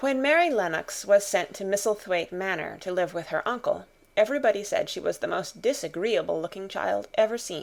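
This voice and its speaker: A woman of medium pitch speaks at a fairly quick pace with hardly any pauses. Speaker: audiobook narrator. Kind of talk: audiobook reading of a classic novel. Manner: soft-spoken.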